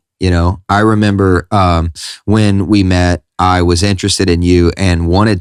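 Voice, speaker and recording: A man's very deep, low voice in a Southern US accent, with monotone, flat intonation and a dry, close sound with no echo, on a very clean recording with a silent background. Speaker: pastor and podcast host. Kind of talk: casual chat.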